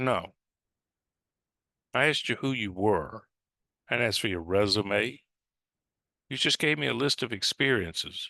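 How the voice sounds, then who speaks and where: Speaking at a fairly slow pace, a man with a medium pitch has a bright, sharp tone with vocal fry and lively intonation. He leaves long, frequent pauses against a quiet background. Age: 60s. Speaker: spiritual teacher. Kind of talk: monologue talk on spirituality.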